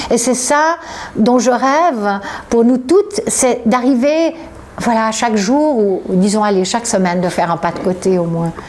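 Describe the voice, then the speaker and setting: With noticeable background noise behind her, a woman speaks fairly slowly in a fairly high pitch with lively intonation. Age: 60s. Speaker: author. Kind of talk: interview. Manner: halting.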